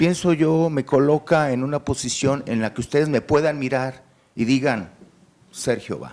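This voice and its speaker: At a fairly slow pace, a man talks with fairly even intonation and a fairly high pitch. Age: 60s. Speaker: job applicant, lawyer. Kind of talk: job interview. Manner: halting; formal.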